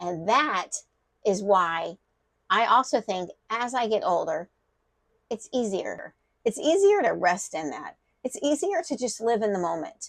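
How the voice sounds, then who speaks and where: Her pitch swings very widely as the woman speaks, broken by long, frequent pauses. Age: 60s. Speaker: faith and life vlogger. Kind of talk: personal reflective monologue. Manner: halting, with fillers and restarts.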